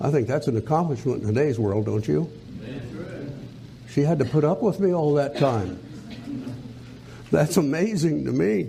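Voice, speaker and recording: A man's fairly high voice with very wide pitch swings, very even loudness and a moderate pace, broken by long, frequent pauses, in audible room echo. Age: 80s+. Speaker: preacher. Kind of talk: sermon.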